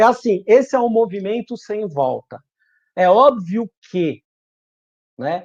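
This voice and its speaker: A man with lively intonation talks fairly slowly, the background quiet. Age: 50s. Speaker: business speaker.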